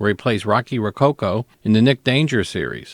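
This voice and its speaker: A man speaks in a normal speaking voice at a fairly low pitch, with ordinary pitch variation and a moderate pace. The recording is very clean, dry and close, with a silent background and no echo. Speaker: radio host. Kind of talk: radio show introduction.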